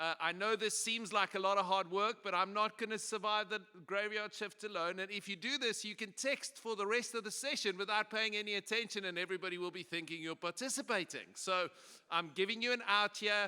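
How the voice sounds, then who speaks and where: A man speaks with a South African accent, his voice pitched high for a man and raised to project. The pace is fairly quick, the tone bright and sharp, and the intonation fairly even. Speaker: pastor and conference speaker. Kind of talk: conference presentation. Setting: stage with audience. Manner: casual and humorous.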